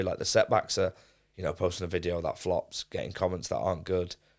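Recorded very cleanly over a silent background, a man with a Mancunian accent speaks at a fairly quick pace. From Manchester, England. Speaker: streamer and football club presenter. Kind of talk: casual chat.

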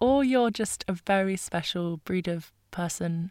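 The recording is very clean, with a silent background and a dry, close sound with no echo. A woman with a British accent speaks at a medium pitch with ordinary pitch variation. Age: 20s. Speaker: podcast host. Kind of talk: solo podcast monologue. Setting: home bedroom.

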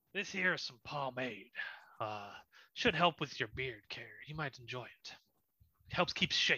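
Using a put-on character voice, a man moves at a moderate pace and takes long, frequent pauses. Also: fairly high pitch for a man. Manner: folksy, helpful.

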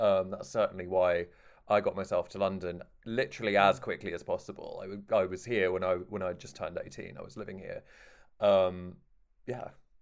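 In a very clean recording with a silent background, a man speaks with a slight southern English accent. His pace is fairly quick and his loudness swings widely. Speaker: podcast host. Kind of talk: casual chat.

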